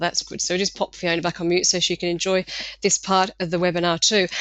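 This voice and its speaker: Speaking very fast, a woman with an English accent holds a medium pitch. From England. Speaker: marketing consultant. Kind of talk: webinar presentation. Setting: webinar. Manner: loud.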